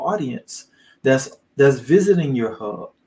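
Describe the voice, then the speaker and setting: A man talks at a fairly slow pace and a fairly high pitch. His tone is dark, mellow and somewhat breathy. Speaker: online business coach. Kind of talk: live training. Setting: livestream.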